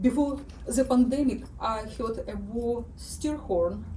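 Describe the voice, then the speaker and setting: A woman with a strong Ukrainian accent is heard with audible room echo and noticeable background noise. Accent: thick Ukrainian. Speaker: writer. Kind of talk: reading aloud.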